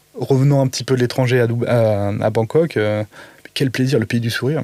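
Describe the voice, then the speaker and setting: A man's medium-pitched voice at a moderate pace, with fairly even intonation and noticeable background noise. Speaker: podcast guest, creative in media and cooking. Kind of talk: casual interview chat. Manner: mumbling, halting with many fillers.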